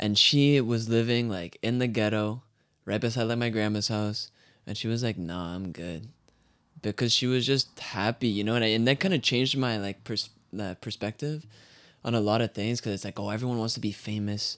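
A man with a Canadian accent in a plain, everyday voice, medium in pitch with ordinary pitch variation, at a fairly quick pace in a very clean recording with a silent background. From Canada. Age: 20s. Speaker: musician. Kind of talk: casual chat.

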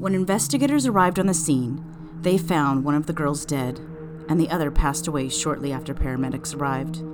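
A woman's very deep, low voice in a serious, dramatic tone, at a very fast pace with fairly even intonation, over music in the background. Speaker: true crime podcast host. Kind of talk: true-crime narration, scripted storytelling read aloud. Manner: measured, suspenseful, serious storyteller pacing; somber, dramatic, building tension at graphic moments.

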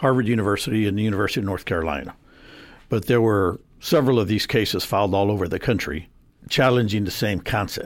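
An unremarkable speaking voice from a man with an American accent, fairly low in pitch with ordinary pitch variation, on a very clean recording with a silent background. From San Antonio, Texas (South Side). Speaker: attorney. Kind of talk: radio interview. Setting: radio studio.

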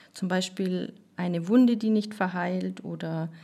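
In a very clean recording with a silent background, a woman talks at a fairly slow pace, her medium pitch held in monotone, flat intonation. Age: 30s. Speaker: nurse. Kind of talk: interview.

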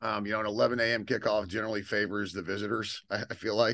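Here a man talks at a very fast pace with a bright, sharp tone. The background is quiet. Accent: American. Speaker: podcast host. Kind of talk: casual chat.

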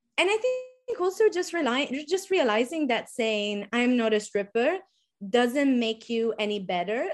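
A woman with an Italian accent speaks at a moderate pace with a high pitch and lively intonation over a quiet background. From Sardinia, Italy. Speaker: pole dance instructor and activist. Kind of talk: casual interview chat.

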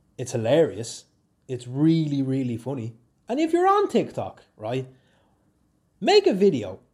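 With a Dublin accent, a man talks at a fairly slow pace with long, frequent pauses on a very clean recording against a silent background. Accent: Dublin Irish. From Ireland, Swords, County Dublin. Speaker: podcaster and YouTuber. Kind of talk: casual solo chat. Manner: animated, laughing often.

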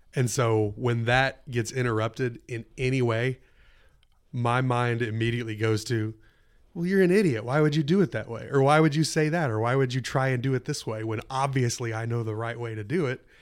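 Fairly quick speech comes through on a very clean recording with a silent background. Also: man, medium pitch for a man, ordinary pitch variation. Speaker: student pastor. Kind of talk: casual chat. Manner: loud.

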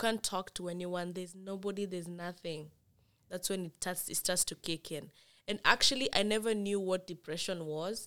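At a moderate pace, a woman with a medium pitch uses fairly even intonation and a bright, sharp tone. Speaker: international student. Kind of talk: casual chat. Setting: studio.

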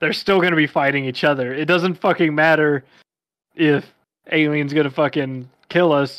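On a very clean recording with a silent background, a man with a normal speaking voice talks at a moderate pace with fairly even intonation. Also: fairly high pitch for a man. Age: 20s. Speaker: podcast co-host. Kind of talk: casual chat.

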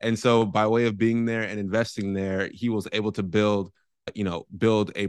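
With an American accent, a man speaks at a moderate pace in a fairly low, monotone, flat voice, the sound dry and close with no echo and the background quiet. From San Francisco Bay Area, California. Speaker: real estate investor. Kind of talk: interview.

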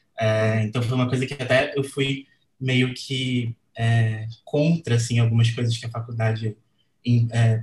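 Somewhat breathy man's voice. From Brazil, Rio de Janeiro. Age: 20s. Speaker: designer and letterer. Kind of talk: casual chat.

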